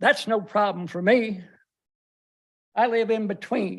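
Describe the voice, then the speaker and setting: His pitch is high for a man. The man's pace is moderate. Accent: North Carolina. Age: 70s. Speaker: resident at public comment, retired drug officer. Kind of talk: public comment at county meeting. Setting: county board meeting room.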